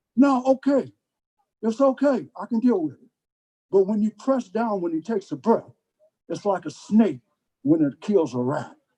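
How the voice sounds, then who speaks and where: A high-pitched man's voice with an American accent, dark and mellow in tone, with very wide pitch swings, big swings in loudness, and long, frequent pauses. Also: moderate pace, dry, close sound with no echo. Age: 70s. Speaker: drum ceremony leader. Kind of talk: spoken address to gathering.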